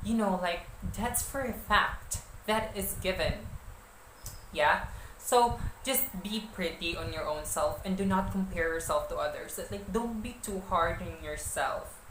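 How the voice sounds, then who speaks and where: A woman speaks with a Filipino accent. Audible room echo and noticeable background noise fill the recording. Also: fairly slow pace. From Philippines. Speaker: vlogger and model. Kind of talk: casual tips vlog. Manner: hesitant, many fillers.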